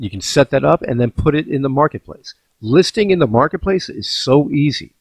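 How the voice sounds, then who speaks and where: A man speaks at a fairly quick pace in a fairly high pitch, his voice somewhat breathy, with a dry, close sound and no echo. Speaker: crypto video host. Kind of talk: casual vlog with screen demo. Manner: fast, animated.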